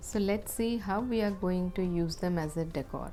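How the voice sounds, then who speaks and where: A woman's medium-pitched voice in a Telugu accent, calm in tone, at a moderate pace with ordinary pitch variation and music in the background. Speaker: craft channel creator. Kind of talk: tutorial. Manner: calm, instructional.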